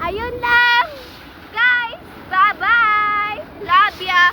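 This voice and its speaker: A raised, projected voice with ordinary pitch variation, set against noticeable background noise. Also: woman. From rural Philippines. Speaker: vlogger. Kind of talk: casual vlog. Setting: outdoors by a river. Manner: loud.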